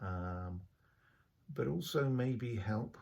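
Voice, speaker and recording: A man with an English accent speaks at a fairly low pitch, his tone dark and mellow. His voice is somewhat breathy, with ordinary pitch variation. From England. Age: 60s. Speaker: vlogger. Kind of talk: personal video diary monologue. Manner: hesitant, many filler sounds.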